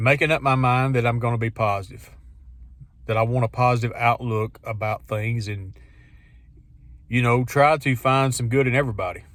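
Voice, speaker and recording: The speaker keeps a moderate pace. The intonation is fairly even. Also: man. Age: 50s. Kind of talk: casual talk to camera. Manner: reflective, conversational.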